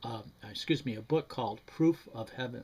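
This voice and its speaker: A man with an American accent talks at a moderate pace, his voice somewhat breathy and his pitch varying in an ordinary way. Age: 80s+. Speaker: retired banker giving personal testimony. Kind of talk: testimony. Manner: halting, many fillers and restarts.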